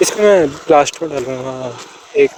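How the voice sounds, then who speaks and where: Over noticeable background noise, a man speaks with an Indian accent. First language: Hindi. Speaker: self-improvement YouTuber. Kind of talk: informal explainer vlog. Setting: outdoors on a road. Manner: stuttering.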